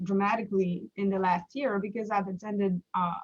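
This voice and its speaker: A woman is speaking. She talks with a French Canadian accent. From Quebec, Montreal. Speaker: small business owner. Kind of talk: live stream interview. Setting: Facebook live stream. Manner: halting, many fillers.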